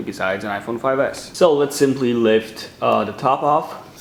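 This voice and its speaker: A man at medium pitch and moderate pace, with ordinary pitch variation. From Romania. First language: Romanian. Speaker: tech YouTuber. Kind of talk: unboxing tutorial.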